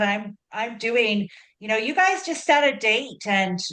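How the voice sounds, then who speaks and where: Fairly high in pitch, a woman with a Canadian accent speaks in a normal speaking voice at a fairly slow pace. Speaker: advocacy organization leader. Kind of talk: meeting facilitation.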